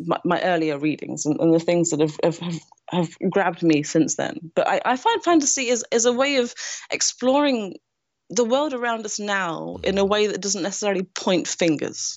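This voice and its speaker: A woman with a Nottingham accent speaks at a moderate pace and medium pitch, her pitch swinging very widely. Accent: English Midlands (Nottingham). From England, Nottingham. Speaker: screenwriter. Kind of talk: interview.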